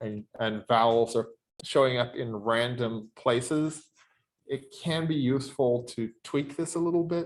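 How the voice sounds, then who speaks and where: Delivery from this man comes at a very slow pace with ordinary pitch variation. His pitch is medium. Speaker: university lecturer. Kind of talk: lecture with software demo. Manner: halting, many fillers.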